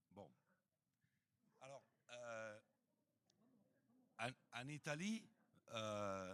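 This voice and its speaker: At a very slow pace broken by long, frequent pauses, a man talks at a medium pitch with ordinary pitch variation. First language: Italian (speaking French). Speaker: geographer. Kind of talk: round table discussion. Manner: halting.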